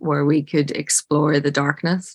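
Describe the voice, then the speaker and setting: A woman with a very deep, low voice speaks in an Irish accent at a moderate pace, her intonation monotone and flat. The recording is very clean, dry and close, with no echo and a silent background. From Ireland. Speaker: film director. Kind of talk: interview.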